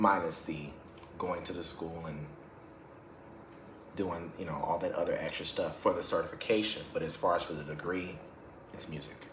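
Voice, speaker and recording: Amid audible room echo, a man talks at a moderate pace with long, frequent pauses. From Louisiana. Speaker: music teacher. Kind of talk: casual vlog monologue. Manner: halting, repeats words.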